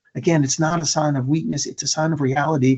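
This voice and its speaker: This man has a plain, everyday voice with an American accent, pitched fairly high. He talks at a moderate pace with fairly even intonation. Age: 60s. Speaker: motivational speaker on suicide prevention. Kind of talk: conference presentation. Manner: repetitive, stumbling restarts.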